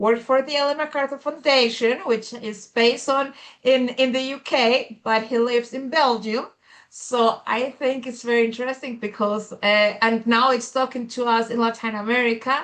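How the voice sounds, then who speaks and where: A woman speaks in a Spanish accent at a high pitch. Her pace is moderate and her intonation fairly even. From Colombia. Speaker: conference moderator. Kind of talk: event introduction. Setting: video call. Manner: halting, many fillers.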